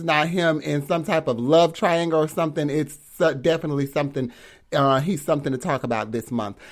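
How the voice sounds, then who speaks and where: The recording is very clean, with a silent background. A man speaks at a fairly high pitch with ordinary pitch variation. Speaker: podcast host. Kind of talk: casual live-stream commentary. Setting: live stream. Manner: loud; animated.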